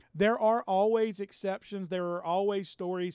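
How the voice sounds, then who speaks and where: A man is speaking. The recording is dry and close, with no echo. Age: 50s. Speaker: podcast host and business executive. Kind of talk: solo monologue on success. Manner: repetitive, stammering on words.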